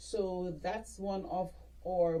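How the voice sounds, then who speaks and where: A woman speaks with a Jamaican accent, and the room echo is audible. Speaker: dentist. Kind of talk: interview. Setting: podcast.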